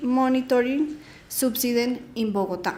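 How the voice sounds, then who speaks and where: A woman with a high voice talks at a fairly slow pace in fairly even intonation, with audible room echo. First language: Spanish. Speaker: researcher. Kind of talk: conference presentation. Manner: halting.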